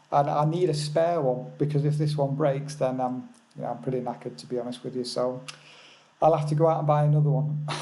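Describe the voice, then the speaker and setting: A man speaks at a very fast pace with fairly even intonation and a fairly high pitch. Audible room echo surrounds his voice. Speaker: forex trading educator. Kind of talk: live webinar. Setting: remote lodge, webinar. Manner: soft-spoken. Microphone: seven-year-old original mic, replaced a worse one.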